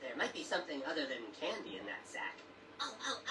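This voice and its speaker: Someone performs a put-on character voice at a fairly quick pace. Loud background noise fills the recording. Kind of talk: carnival barker. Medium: voice reel. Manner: showy, theatrical.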